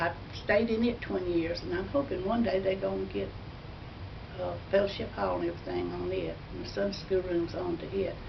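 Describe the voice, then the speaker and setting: Over noticeable background noise and audible room echo, a woman talks at a moderate pace in an Alabama accent. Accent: Southern US (Alabama). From US South, northern Alabama. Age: 80s+. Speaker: elderly churchgoer. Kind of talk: personal testimony. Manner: halting.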